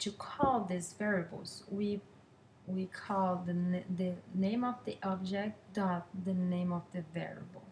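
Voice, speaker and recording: A woman's somewhat breathy, medium-pitched voice, very slow in pace and fairly even in intonation. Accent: non-native. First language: not English. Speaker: student. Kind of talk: class presentation. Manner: halting, many fillers.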